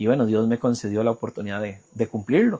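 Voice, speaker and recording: This is a man speaking. He has a Costa Rican accent. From Costa Rica, Puriscal. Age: 30s. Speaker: journalist. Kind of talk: interview. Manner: halting.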